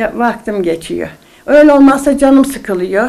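Here a woman speaks at a fairly slow pace. Her pitch is high. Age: 80s+. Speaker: elderly knitter. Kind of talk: interview. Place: home room.

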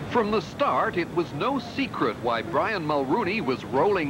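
A man speaks fairly slowly while music plays in the background. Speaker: TV news reporter. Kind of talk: 1984 TV news report, scripted narration. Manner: measured, formal, authoritative broadcast delivery.

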